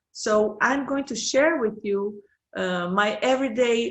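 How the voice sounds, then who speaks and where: At a very slow pace, a woman speaks with a Brazilian Portuguese accent. Her medium-pitched voice has lively intonation. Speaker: professor. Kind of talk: conference presentation. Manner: halting.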